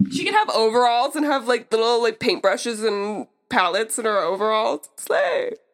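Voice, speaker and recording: With music in the background, a woman in an American accent speaks at a moderate pace and a fairly high pitch, her intonation lively and hardly any pauses. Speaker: podcast guest, friend of host. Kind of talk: casual chat. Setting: in Utah, recording on trip.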